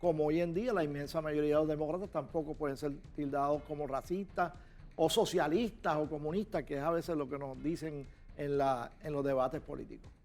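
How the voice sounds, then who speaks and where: A man with a fairly high pitch and ordinary pitch variation, at a fairly quick pace, music in the background. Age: 60s. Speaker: political commentator. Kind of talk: interview.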